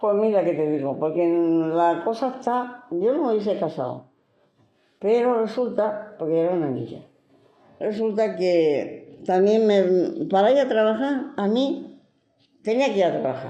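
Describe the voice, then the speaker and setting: Speaking at a fairly slow pace, a woman at medium pitch makes very wide pitch swings. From Granada, Spain. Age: 70s. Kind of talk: interview answer.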